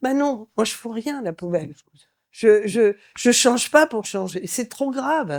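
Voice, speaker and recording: Very slow, fairly high speech from a woman with very wide pitch swings, on a very clean recording with a silent background. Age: 70s. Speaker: advertising creative director. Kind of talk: panel talk. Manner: animated.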